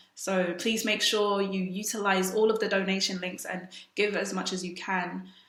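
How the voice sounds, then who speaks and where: Noticeable background noise sits under the recording. A woman speaks in a monotone, flat intonation. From South Sudan. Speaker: spoken word poet. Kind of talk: event introduction.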